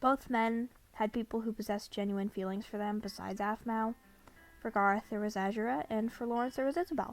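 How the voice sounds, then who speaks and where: Music plays in the background. Over it, a woman speaks with a fairly high pitch. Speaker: former fan and commentary creator. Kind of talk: video essay commentary.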